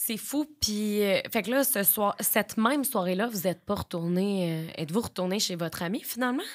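Her intonation is lively and her pace moderate. The woman is heard against a quiet background. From Quebec, Beauce; Quebec. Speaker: podcast host. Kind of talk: casual interview. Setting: studio. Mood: empathetic, serious topic. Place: studio. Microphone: studio mic.

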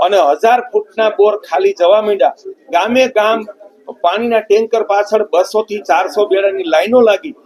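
A man talks at a high pitch with ordinary pitch variation. The sound is dry and close with no echo, though there is noticeable background noise. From Saurashtra, Junagadh district, Gujarat. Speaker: water conservation activist and trust chairman. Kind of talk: interview testimony.

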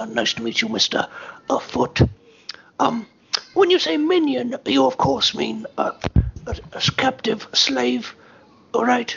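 A man performs a put-on character voice pitched high. He delivers it at a very slow pace. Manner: cheerful, naive, silly.

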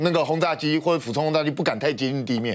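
The voice races along at a very fast pace with ordinary pitch variation. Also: man. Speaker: military affairs commentator. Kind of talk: explanatory commentary. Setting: TV studio. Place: studio.

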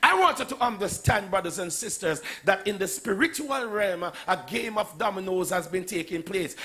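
Using a raised, projected voice, a man talks at a moderate pace with ordinary pitch variation and hardly any pauses. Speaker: preacher. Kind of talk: sermon. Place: church. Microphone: handheld.

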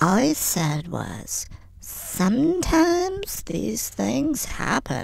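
A woman's put-on character voice at a very slow pace, over light background noise. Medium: comedy sketch.

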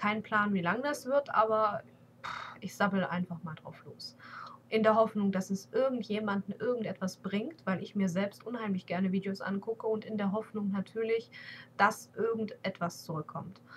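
Her voice at medium pitch, a woman talks at a moderate pace with ordinary pitch variation and big swings in loudness, over light background noise. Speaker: beauty vlogger. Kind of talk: casual vlog monologue. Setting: webcam at home PC. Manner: hesitant, many fillers. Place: home room. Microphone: webcam.

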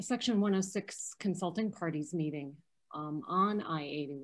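Against a quiet background, a woman speaks very slowly at a medium pitch with ordinary pitch variation. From US Midwest, Chicago. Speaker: historic preservation advocate. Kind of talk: Q&A discussion. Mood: earnest, somewhat disheartened. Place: home room. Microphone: video call.

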